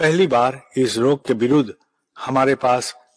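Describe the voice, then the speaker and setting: This voice has ordinary pitch variation and a Bengali accent, with a dry, close sound and no echo. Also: man. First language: Bengali (speaking Hindi). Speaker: spiritual leader. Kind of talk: spiritual address. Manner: formal.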